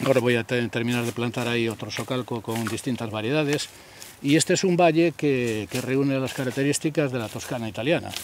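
With light background noise and a dry sound with no echo, a man talks fairly quickly with ordinary pitch variation. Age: 60s. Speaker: olive grove owner. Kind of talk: interview. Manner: halting. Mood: earnest, passionate about land. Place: farm machine. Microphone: handheld.

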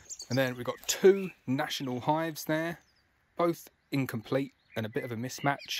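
Light background noise beneath a man's voice, the sound dry with no echo. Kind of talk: casual walkthrough description. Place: garden. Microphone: phone near.

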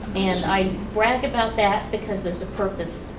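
A woman at a medium pitch with ordinary pitch variation, amid noticeable background noise and audible room echo. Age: 70s. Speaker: retiring school nurse. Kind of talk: farewell speech at a board meeting.

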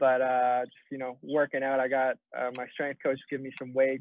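Speaking at a fairly quick pace, a man keeps a monotone, flat intonation in a dry sound with no echo. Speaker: guest. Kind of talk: interview answer. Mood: relaxed, friendly. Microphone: video call.

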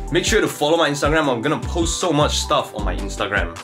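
A man talks at a very fast pace. Music is clearly heard in the background. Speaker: content creator. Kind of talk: casual vlog chat. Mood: reflective then upbeat. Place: home room. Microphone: phone near.

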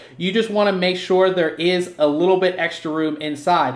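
There is noticeable background noise. The speaker talks with an American accent. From US, Pittsburgh. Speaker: tech reviewer. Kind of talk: product unboxing overview. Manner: casual, filler-heavy.

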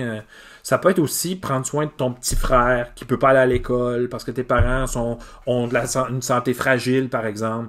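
At a moderate pace, a man talks with fairly even intonation against a quiet background. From Quebec, Îles-de-la-Madeleine; Quebec. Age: 40s. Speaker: teacher. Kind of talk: casual video monologue. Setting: home garage. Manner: hesitant, many fillers. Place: garage. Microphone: phone near.

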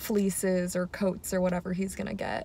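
A woman speaks at a moderate pace in a somewhat breathy voice. Light background noise is present, and the sound is dry with no echo. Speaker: vlogger. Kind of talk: casual vlog chat. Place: car. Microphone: phone near.

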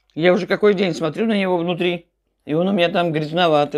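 A woman talks at a very fast pace in a fairly low pitch. Her intonation stays fairly even over a quiet background. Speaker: food vlogger. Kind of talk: casual vlog chat. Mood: warm, chatty. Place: home room. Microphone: phone near.

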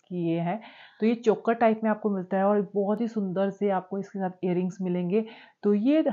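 A woman at a moderate pace, with fairly even intonation and a quiet background. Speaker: lifestyle vlogger. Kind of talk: casual vlog chat. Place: home room. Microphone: lapel.

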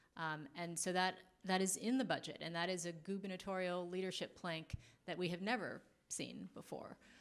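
This woman has an ordinary speaking voice with a fairly low pitch and an American accent. Her intonation stays fairly even. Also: moderate pace. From Los Angeles County; California. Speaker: policy executive; panelist. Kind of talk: panel discussion. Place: hall. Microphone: handheld.

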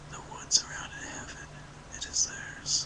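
Someone whispers at a fairly slow pace with noticeable background noise. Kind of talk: poetry reading. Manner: whispered.

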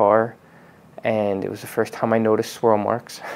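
This man has a fairly low pitch. He speaks with monotone, flat intonation. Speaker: car detailing channel host. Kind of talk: personal vlog talk. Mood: reflective, calm, personal.

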